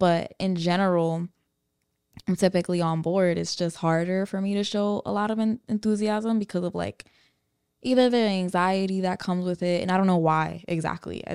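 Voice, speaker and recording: A woman's medium-pitched voice at a moderate pace with fairly even intonation, dry and close with no echo, in a very clean recording with a silent background. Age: 20s. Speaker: podcast co-host. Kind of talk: casual chat.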